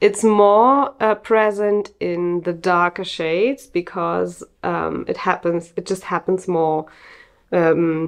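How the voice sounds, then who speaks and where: A woman's fairly low-pitched voice at a very slow pace, with ordinary pitch variation over a quiet background. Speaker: natural yarn dyer and maker. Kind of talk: video podcast monologue, casual. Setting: home studio, recorded video. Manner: friendly, conversational, hesitant with fillers. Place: home room.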